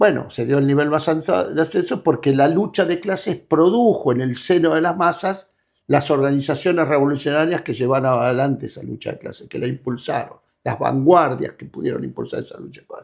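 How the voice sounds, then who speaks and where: In a very clean recording with a silent background, a man with a fairly high pitch uses vocal fry, big swings in loudness, and ordinary pitch variation. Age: 70s. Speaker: political activist leader. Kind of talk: interview. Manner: halting.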